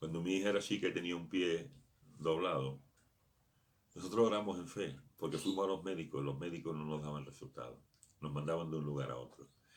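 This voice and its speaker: Amid audible room echo, a man with a very deep, low pitch talks at a fairly quick pace with ordinary pitch variation and long, frequent pauses. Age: 60s. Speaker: pastor. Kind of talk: sermon.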